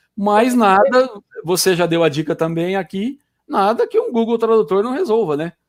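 Lively intonation at a moderate pace. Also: man, high pitch for a man. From Brazil, raised in Campinas. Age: 50s. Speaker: business consultant and software student. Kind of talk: casual chat. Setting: video livestream.

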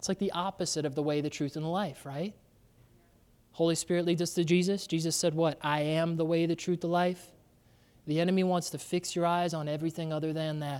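Fairly quick speech comes through on a very clean recording, the background silent. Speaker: pastor. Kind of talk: sermon. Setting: church. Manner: loud and intense.

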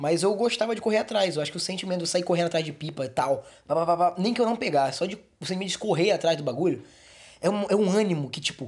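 At a very fast pace, a man speaks with a high pitch and ordinary pitch variation. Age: 40s. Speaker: podcast host. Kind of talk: casual podcast monologue. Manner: casual, halting.

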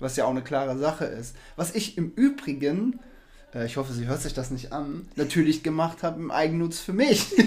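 This man has a plain, everyday voice, pitched fairly high. His pitch varies in an ordinary way. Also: moderate pace. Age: 40s. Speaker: podcast co-host, stepfather in sales. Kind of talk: casual chat.

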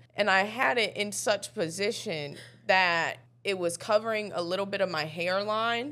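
A woman speaks at a moderate pace with a medium pitch and ordinary pitch variation. Her tone is fairly bright on a very clean recording with a silent background.

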